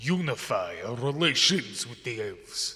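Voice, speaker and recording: A man speaks in a put-on character voice. His delivery is fairly slow. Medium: actual play. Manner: haughty, dismissive.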